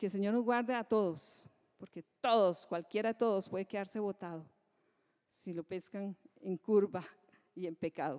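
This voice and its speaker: In a very clean recording with a silent background and a dry, close sound with no echo, a woman at medium pitch speaks at a moderate pace with lively intonation. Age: 60s. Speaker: pastor. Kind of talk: sermon.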